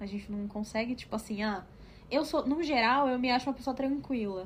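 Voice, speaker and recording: A woman's high voice moves somewhat quickly, its pitch shifting in a typical way. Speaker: podcast co-host. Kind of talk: casual chat. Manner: fast.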